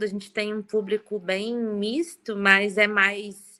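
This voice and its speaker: A woman with a southern Brazilian accent speaks at a fairly slow pace in a bright, sharp tone with monotone, flat intonation. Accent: gaúcho. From southern Brazil (Rio Grande do Sul). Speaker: event moderator. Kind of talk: casual chat.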